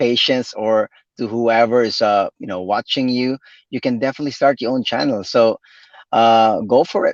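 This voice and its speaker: A man with a Visayan Filipino accent, medium pitch, moderate pace and fairly even intonation, in a dry, close sound with no echo over a quiet background. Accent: Filipino (Cebuano) English. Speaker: physical therapist and YouTube creator. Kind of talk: live interview. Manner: halting, many repetitions.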